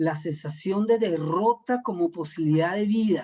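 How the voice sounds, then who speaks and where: At a moderate pace, a man talks in a high pitch. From Venezuela. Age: 60s. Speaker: art critic leading a workshop. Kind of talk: lecture. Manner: halting, with repetitions.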